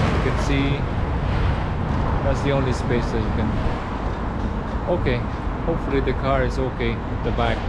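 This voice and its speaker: A man at a moderate pace, amid loud background noise. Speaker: travel vlogger. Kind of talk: casual vlog chat. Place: street. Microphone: phone near.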